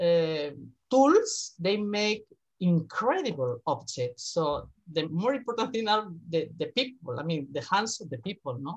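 A fairly low-pitched woman's voice, somewhat breathy, with very wide pitch swings. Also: fairly slow pace. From Spain, Madrid. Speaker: university professor, art historian. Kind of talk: casual interview. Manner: halting, laughs often.

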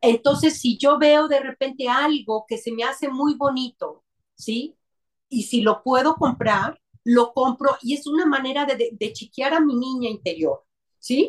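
A woman's high voice moves with ordinary pitch variation as she talks fairly slowly. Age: 50s. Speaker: psychologist. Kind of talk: interview.

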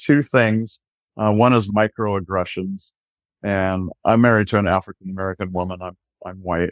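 With a moderate pace and fairly even intonation, a man in an unremarkable speaking voice shows big swings in loudness, recorded dry and close with no echo on a very clean track with a silent background. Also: fairly low pitch for a man. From US Pacific Northwest, rural Washington. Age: 60s. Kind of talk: podcast interview.

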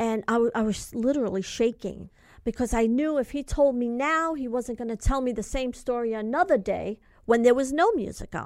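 A woman with a New York accent speaks at a moderate pace in a high voice with ordinary pitch variation, on a very clean recording with a silent background. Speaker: mother advocating for imprisoned son. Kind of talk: interview. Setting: studio.

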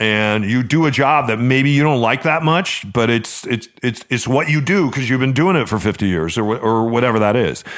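A man talks in a plain, everyday voice at medium pitch and a moderate pace, with hardly any pauses. His loudness stays very even, and the recording is very clean with a silent background. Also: ordinary pitch variation. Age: 50s. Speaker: radio host and podcast co-host. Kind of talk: casual chat. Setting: studio.

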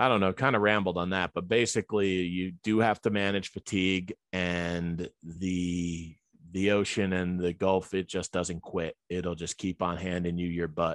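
A man with a New Jersey accent speaks in a very deep, low pitch and a monotone, flat intonation. He keeps a moderate pace with hardly any pauses against a quiet background. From New Jersey (Elizabeth). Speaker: boat pilot. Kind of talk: interview.

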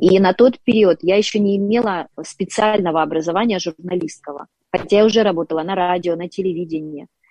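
A woman's medium-pitched voice with a dark, mellow tone, ordinary pitch variation and a fairly quick pace, in a dry, close sound with no echo. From Ukraine, Dnipro. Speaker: public speaking and voice coach. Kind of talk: interview and faith testimony.

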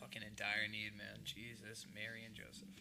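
A man with an American accent talks at a fairly slow pace in a bright, sharp tone with vocal fry. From Boston area, Massachusetts. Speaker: podcast host. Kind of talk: casual chat interview. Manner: profane, casual.

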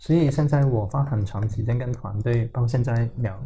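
A man is speaking at a medium pitch. His pitch variation is ordinary. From Hong Kong. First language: Cantonese (speaking Chinese). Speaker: tech startup founder and CEO. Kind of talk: interview. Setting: company office.

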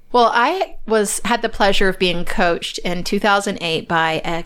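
A woman's ordinary speaking voice, medium in pitch, with ordinary pitch variation. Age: 40s. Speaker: podcast host and strengths coach. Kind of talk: interview.

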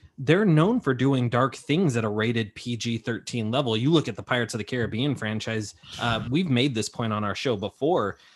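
Against a quiet background, a man with an American accent and a normal speaking voice talks at a medium pitch and moderate pace with lively intonation. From California. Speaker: entertainment news podcaster. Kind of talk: casual chat.

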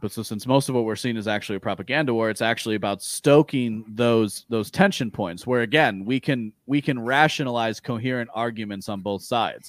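Delivered with an American accent, this is an unremarkable speaking voice at a fairly quick pace with ordinary pitch variation. The recording is very clean and dry, with a silent background, a close sound and no echo. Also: man. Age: 30s. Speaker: podcast guest discussing philosophy and libertarianism. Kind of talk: casual chat.

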